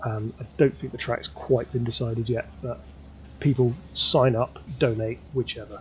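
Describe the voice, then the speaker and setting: A man speaks with a British accent and some vocal fry. His pitch is medium and his pace moderate. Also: ordinary pitch variation. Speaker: sim racing commentator. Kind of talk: live commentary. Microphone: sounds quiet despite levels maxed.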